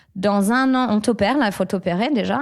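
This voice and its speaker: Moderate pace and ordinary pitch variation, captured on a very clean recording with a silent background. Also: woman. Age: 30s. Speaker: former dancer, fitness coach. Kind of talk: interview, personal story. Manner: halting, many hesitations.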